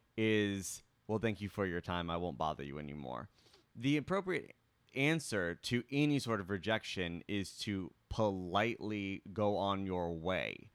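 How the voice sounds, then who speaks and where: Fairly low in pitch, this man has an ordinary speaking voice and lively intonation at a fairly slow pace. The recording is very clean with a silent background. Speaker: podcast co-host.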